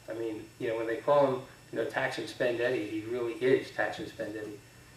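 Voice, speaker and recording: At a fairly quick pace, someone talks amid noticeable background noise and audible room echo. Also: man. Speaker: state legislator and candidate. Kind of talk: candidate forum answers. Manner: fast.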